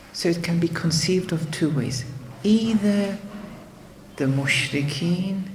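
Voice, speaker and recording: Speech comes at a fairly slow pace, broken by long, frequent pauses. Noticeable background noise runs underneath. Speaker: Islamic teacher. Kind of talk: lecture. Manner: halting.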